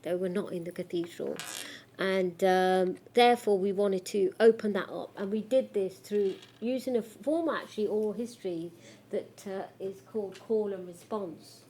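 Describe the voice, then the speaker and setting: A dark, mellow tone in a Coventry accent, moderate pace and ordinary pitch variation. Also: woman, medium pitch for a woman. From Coventry, England. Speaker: academic researcher. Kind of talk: lecture. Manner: halting.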